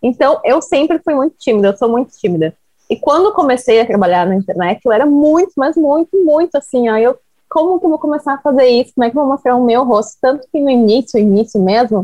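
A woman's high-pitched voice with lively intonation, very even loudness and a fairly quick pace. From Porto Alegre, Brazil. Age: 20s. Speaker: social media influencer. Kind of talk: casual interview.

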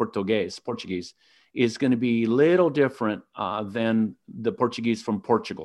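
In an American accent, a man with an ordinary speaking voice talks at a medium pitch and moderate pace with ordinary pitch variation. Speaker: podcast host. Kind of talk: interview.

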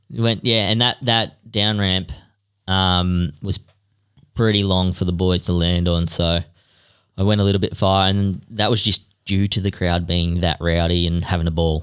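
In a very clean recording with a silent background, a man with an Australian accent speaks in a very deep, low voice at a moderate pace, with fairly even intonation and very even loudness. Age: 30s. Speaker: freestyle motocross rider. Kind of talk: casual chat.

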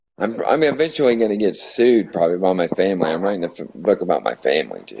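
With an American accent, a man speaks at a fairly quick pace in a fairly low pitch, his tone dark and mellow with vocal fry. His pitch swings very widely. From US Midwest, rural northwest Missouri. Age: 40s. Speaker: music booker and interviewer. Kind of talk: casual chat.

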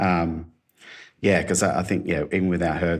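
A man's very deep, low voice in an Australian accent, at a moderate pace. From Australia, mid-north coast of New South Wales. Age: 40s. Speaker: designer and creative director. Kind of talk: casual interview. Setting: video call.

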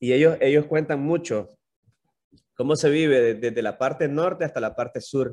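A man with an unremarkable speaking voice, a fairly high pitch, ordinary pitch variation, and a moderate pace. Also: quiet background. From Nicaragua. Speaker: YouTube content creator. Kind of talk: casual interview chat.

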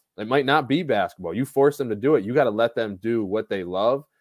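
A man with an unremarkable speaking voice talks in a medium pitch with ordinary pitch variation. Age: 20s. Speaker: basketball skills trainer. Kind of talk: casual chat.

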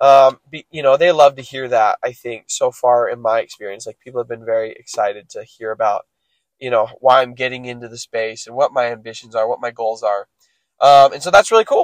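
A man talks at a fairly quick pace, with big swings in loudness. The sound is dry and close, with no echo. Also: medium pitch for a man, ordinary pitch variation. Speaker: solo podcaster documenting a self-improvement journey. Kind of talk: casual solo monologue. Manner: casual, many filler words.

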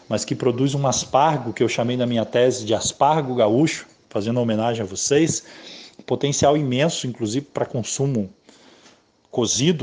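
Moderate pace and medium pitch from a man, a plain, everyday voice with ordinary pitch variation. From Rio de Janeiro state countryside. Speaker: biologist and researcher. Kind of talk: interview.

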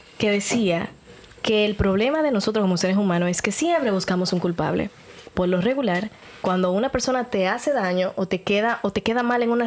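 A woman's medium-pitched voice with ordinary pitch variation and very even loudness, amid noticeable background noise. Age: 30s. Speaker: podcast host. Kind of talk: casual chat.

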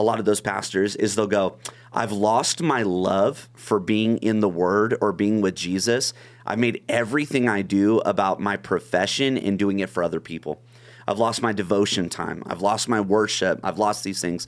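With an American accent, a man talks at a moderate pace in a fairly low pitch with ordinary pitch variation. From Long Beach, California. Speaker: pastor. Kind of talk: casual chat. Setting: studio.

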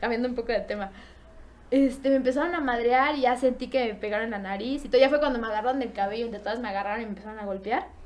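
Over noticeable background noise and audible room echo, a woman talks at a very fast pace in a high pitch with ordinary pitch variation. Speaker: podcast guest. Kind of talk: casual chat. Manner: animated.

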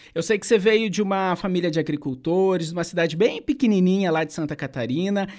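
Talking at a very fast pace with hardly any pauses, a man uses a high pitch and ordinary pitch variation. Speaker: podcast host. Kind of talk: interview, casual chat.

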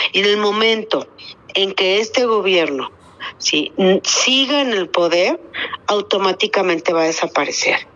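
A woman with a medium pitch talks at a fairly slow pace with lively intonation. Her loudness stays very even over noticeable background noise. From Torreón, Coahuila, northern Mexico. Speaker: civic activist leader. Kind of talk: radio interview.

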